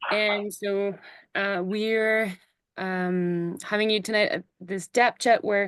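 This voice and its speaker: A woman speaks in a Quebec accent at a medium pitch. The sound is dry and close with no echo, over a quiet background. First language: French. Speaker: horse logger, chat host. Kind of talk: online interview. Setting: video call. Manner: halting, many fillers.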